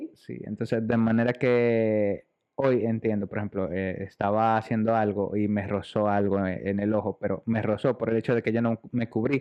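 In a fairly low, monotone voice with flat intonation, a man speaks with hardly any pauses. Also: moderate pace. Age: 30s. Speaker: podcast co-host. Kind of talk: casual chat.

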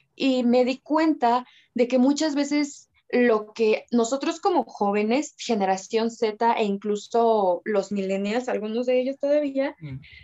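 A woman speaks in a high pitch with ordinary pitch variation. Her pace is fairly slow. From Mexico. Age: 20s. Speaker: photographer and TikTok creator. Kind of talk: casual chat.

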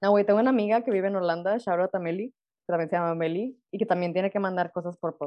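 Very fast and at a medium pitch, a woman speaks with fairly even intonation. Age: 20s. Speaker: podcast co-host, doctor. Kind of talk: casual chat.

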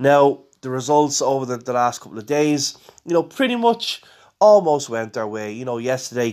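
With an Irish accent, a man speaks at a moderate pace and medium pitch with ordinary pitch variation, on a very clean recording with a silent background. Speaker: football podcast host. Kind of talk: casual match preview podcast. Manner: conversational with fillers.

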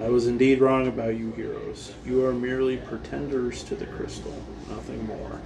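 Someone reads aloud in a natural voice.

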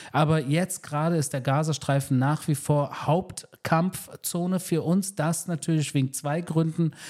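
Having an ordinary speaking voice, a man speaks at a fairly slow pace with fairly high pitch and fairly even intonation. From Germany, Berlin (Wedding). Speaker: military spokesperson. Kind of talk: interview. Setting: in person in Tel Aviv.

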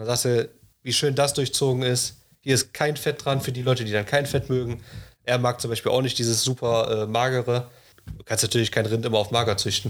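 A man's monotone, flat delivery at a fairly quick pace, on a very clean recording with a silent background. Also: medium pitch for a man. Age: 20s. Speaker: master butcher. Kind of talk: casual chat.

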